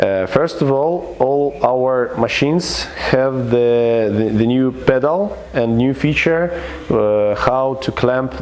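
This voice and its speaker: With a non-native accent, a man speaks at a very slow pace and medium pitch, his loudness very even, amid audible room echo and noticeable background noise. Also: ordinary pitch variation. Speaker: equipment company representative. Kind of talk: product demonstration. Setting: service station workshop. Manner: halting, many fillers. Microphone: low quality video recording.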